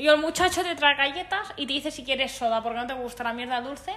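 A woman speaks at a high pitch with lively intonation. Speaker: podcast host. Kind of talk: casual chat.

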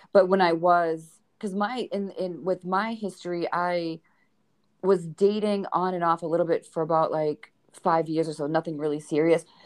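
In a Boston accent, a woman speaks at a moderate pace with a fairly low pitch and fairly even intonation. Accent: Boston accent, living in Texas. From Boston, US. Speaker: podcast host. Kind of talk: casual interview chat.

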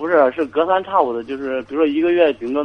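A man speaks at a very fast pace. His pitch is fairly high, with ordinary variation. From rural China. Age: 20s. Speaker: caller, soldier. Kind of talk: call-in radio advice.

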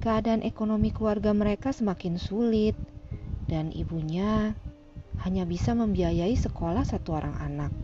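A woman speaks in a dramatic tone at a moderate pace. Noticeable background noise is present. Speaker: audiobook narrator. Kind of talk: audiobook narration of a fantasy novel. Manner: dramatic, suspenseful storytelling with shifting character voices.

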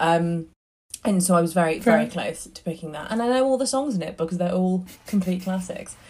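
A woman speaks at a fairly quick pace with a somewhat breathy voice. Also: medium pitch for a woman. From northern England, Northumberland coast. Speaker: theatre producer. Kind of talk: casual chat. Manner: animated.

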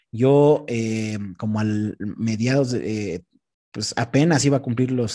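This man has a dark, mellow tone at medium pitch. He speaks fairly slowly, with ordinary pitch variation. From central Mexico, Texcoco area. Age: 20s. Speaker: content creator and radio host. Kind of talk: casual interview.

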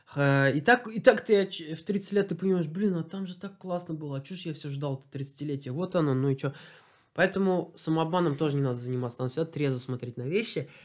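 A man with a normal speaking voice, fairly high in pitch, at a fairly quick pace with ordinary pitch variation, on a very clean recording with a silent background. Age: 30s. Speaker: athlete. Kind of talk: casual chat. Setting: home interview.

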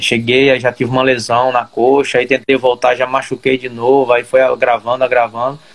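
A man speaks at a moderate pace in a medium pitch. He hardly pauses. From Brazil, Ceará. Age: 30s. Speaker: professional footballer. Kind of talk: interview. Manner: halting.

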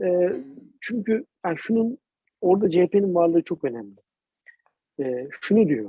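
A man speaks in a dark, mellow tone, recorded with a dry, close sound and no echo. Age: 30s. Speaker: podcast co-host. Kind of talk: casual political chat.

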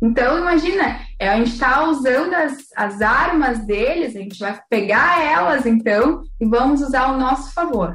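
A woman's high voice with lively intonation at a fairly slow pace, amid noticeable background noise and audible room echo. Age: 20s. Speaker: beauty pageant queen and systems analyst. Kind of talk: casual interview.

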